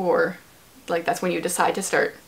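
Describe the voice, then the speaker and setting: A woman with a Canadian accent and fairly low pitch, against noticeable background noise. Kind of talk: casual chat. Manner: fast.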